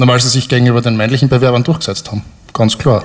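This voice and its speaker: The voice belongs to a man. It has a medium pitch. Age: 30s. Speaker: software developer, audience volunteer. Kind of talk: live stage interview. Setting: stage with audience.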